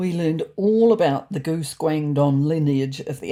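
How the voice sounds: A woman with a low pitch and a dark, mellow tone speaks at a fairly slow pace with lively intonation.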